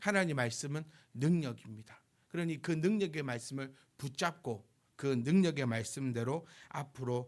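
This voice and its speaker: A man's medium-pitched voice with lively intonation, in a very clean recording over a silent background. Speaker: pastor. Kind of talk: sermon. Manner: fast.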